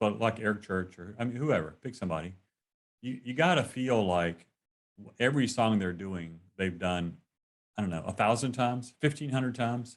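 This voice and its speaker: With a Southern accent, the speaker uses lively intonation at a moderate pace. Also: man, medium pitch for a man. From North Carolina. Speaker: interviewer. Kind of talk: casual chat. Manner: halting.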